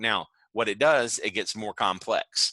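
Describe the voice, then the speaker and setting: A man talks loudly at a moderate pace, his tone bright and sharp. The sound is dry and close, with no echo. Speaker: adult education teacher. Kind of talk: online lecture. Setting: video call.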